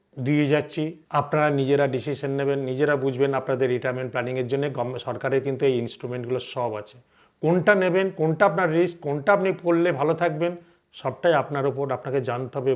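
A man uses a normal speaking voice, pitched fairly high and varying in pitch in an ordinary way. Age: 60s. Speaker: financial advisor. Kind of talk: educational talk to camera.

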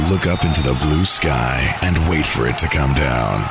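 A man at a fairly slow pace, with loud background noise and a dry sound with no echo. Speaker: voice actor. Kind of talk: TV commercial read.

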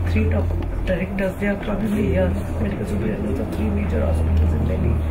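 The voice belongs to a man. Heavy background noise is heard throughout. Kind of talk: informal explanation to a visitor. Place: office.

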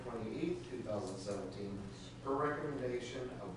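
Amid noticeable background noise and strong room echo, a man speaks with ordinary pitch variation. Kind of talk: formal meeting procedure. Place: meeting room. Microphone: camera far.

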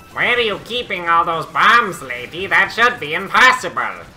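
In a put-on character voice, someone speaks at a moderate pace with a raised, projected delivery over clear background music. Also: man, high pitch for a man. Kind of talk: in-character gaming commentary. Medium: role play. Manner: exaggerated, whiny, cackling.

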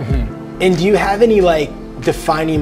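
A man's voice with clear music in the background. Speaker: surf show host. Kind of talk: casual talk to camera. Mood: relaxed, friendly curiosity. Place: shop.

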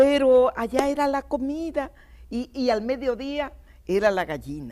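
A woman speaks with a dark, mellow tone. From Dominican Republic, Miches (east); Dominican Republic. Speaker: TV talk show guest. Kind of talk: TV talk show chat. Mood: cheerful, nostalgic, laughing. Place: studio. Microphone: lapel.

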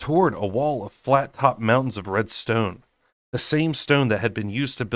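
Against a quiet background, a natural reading voice is heard.

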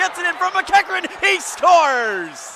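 Though background noise is noticeable, the sound itself stays dry and free of echo. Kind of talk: live commentary. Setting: hockey arena broadcast. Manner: rising, emphatic calls on goals. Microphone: headset.

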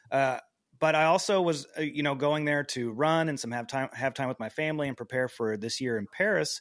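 A plain, everyday voice from a man with an American accent, fairly high in pitch with ordinary variation, at a fairly quick pace on a very clean recording with a silent background. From US, small town. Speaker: podcast host. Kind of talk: interview. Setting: home apartment.

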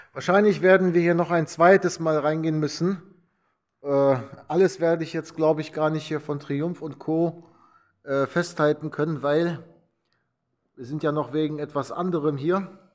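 Against a quiet background, a man with a fairly high pitch speaks at a fairly slow pace with fairly even intonation and long, frequent pauses. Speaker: vlogger touring a motorcycle museum. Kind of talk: casual walkthrough vlog commentary. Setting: indoors in a vehicle museum. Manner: hesitant with repetitions and fillers.

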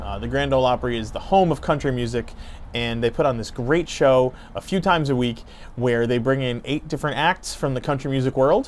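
Over light background noise, a man talks at a fairly quick pace. His pitch variation is ordinary. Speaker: family travel vlogger. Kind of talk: casual vlog chat. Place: street. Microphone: lapel.

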